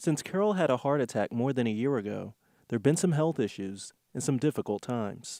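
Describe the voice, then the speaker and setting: A man with an American accent speaks at a fairly quick pace with a medium pitch and a dark, mellow tone. His intonation is lively, and the sound is dry and close with no echo. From Philadelphia, USA. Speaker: TV news reporter / anchor. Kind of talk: TV news package reporter voiceover.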